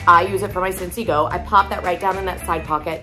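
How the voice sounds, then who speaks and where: Clear music sounds in the background. Over it, a woman talks at a fairly quick pace. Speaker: product seller. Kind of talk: product demo vlog chat. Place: home room. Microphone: phone near.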